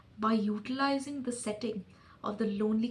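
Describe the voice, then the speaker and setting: There is noticeable background noise. A woman speaks with a fairly high pitch. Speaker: video essayist. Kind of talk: reading aloud own essay. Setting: recording to camera.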